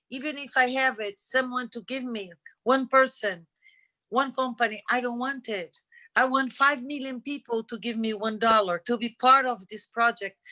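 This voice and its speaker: Speaking at a moderate pace, a woman with a high pitch and a bright, sharp tone keeps her intonation fairly even while her loudness swings widely, in a dry, close sound with no echo. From Middle East. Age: 60s. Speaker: foundation founder. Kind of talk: speech at an online panel. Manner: halting.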